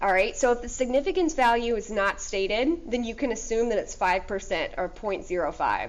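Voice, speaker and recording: A woman's fairly high, lively voice at a fairly quick pace, with audible room echo. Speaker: high school statistics teacher. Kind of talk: lecture.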